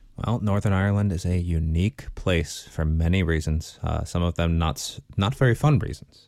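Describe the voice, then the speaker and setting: A man with an American accent speaks at a moderate pace in a very deep, low voice, with ordinary pitch variation, hardly any pauses, and a very clean recording over a silent background. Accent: American, noticed by locals. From Los Angeles area, US. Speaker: podcast co-host. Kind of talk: casual chat. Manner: halting, many fillers.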